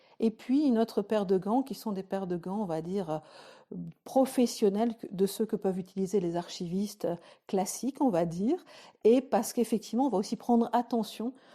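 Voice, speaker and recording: The tone is dark and mellow, with ordinary pitch variation and a moderate pace, on a very clean recording with a silent background. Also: woman, fairly high pitch for a woman. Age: 40s. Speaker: archives activist. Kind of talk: interview. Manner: hesitant.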